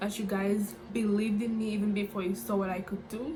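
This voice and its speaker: Audible room echo plus noticeable background noise. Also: woman. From Dominica. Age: 20s. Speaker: YouTuber and student. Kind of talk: casual vlog intro. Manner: animated.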